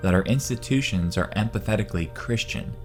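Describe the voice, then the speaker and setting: A man's voice over background music. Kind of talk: bible prophecy narration.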